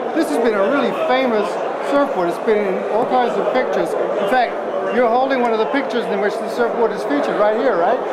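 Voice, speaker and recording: A man talks very fast while loud noise fills the background. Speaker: TV co-host and appraiser. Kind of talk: event commentary and appraisal. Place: hall.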